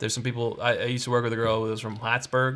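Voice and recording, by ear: With an American accent, a man speaks in a bright, sharp tone at a medium pitch with ordinary pitch variation, in a very clean recording with a silent background. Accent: toned-down regional American.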